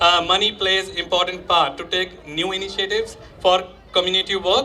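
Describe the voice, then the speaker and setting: Noticeable background noise runs under a man's speech. His pitch is high, his pace moderate and his intonation fairly even. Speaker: youth organisation founder. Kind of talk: public speech. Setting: stage with audience. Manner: halting.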